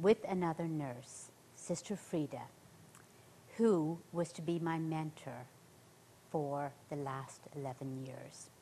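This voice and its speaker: A woman with an Irish accent speaks at a very slow pace in a fairly low pitch. Her tone is dark and mellow, with ordinary pitch variation. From central Ireland. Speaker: nurse, missionary; interview guest. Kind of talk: interview, personal testimony. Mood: earnest testimony. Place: studio.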